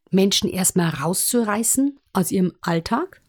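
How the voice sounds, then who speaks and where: The sound stays dry and close with no echo. A woman talks in an animated tone. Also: very clean recording, silent background. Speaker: musical performer and presentation coach. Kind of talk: interview.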